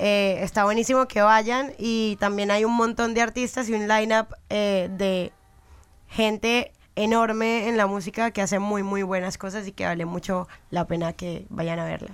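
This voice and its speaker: A woman's ordinary speaking voice at medium pitch, fairly slow in pace, with fairly even intonation. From Colombia, Girardot near Bogotá. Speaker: musician. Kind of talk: interview.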